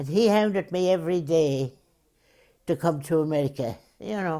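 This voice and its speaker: In a very clean recording with a silent background, a woman with an Irish accent speaks in a very deep, low pitch with a dark, mellow tone. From Ireland. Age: 80s+. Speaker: assisted living resident. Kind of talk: interview.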